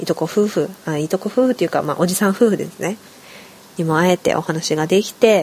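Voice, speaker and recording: Fairly quick speech with ordinary pitch variation against noticeable background noise. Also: woman. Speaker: podcast host. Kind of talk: solo casual talk.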